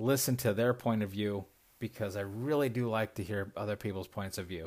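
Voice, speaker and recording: At a moderate pace, a man speaks in an ordinary speaking voice, his medium pitch showing ordinary variation. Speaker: podcast host. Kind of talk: casual monologue. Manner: rambling, laughing often.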